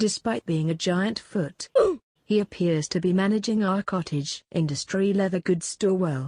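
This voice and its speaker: Putting on a character voice, a woman speaks at a moderate pace with very even loudness in a dry, close sound with no echo. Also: medium pitch for a woman, ordinary pitch variation. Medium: comedy sketch. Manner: deadpan, formal.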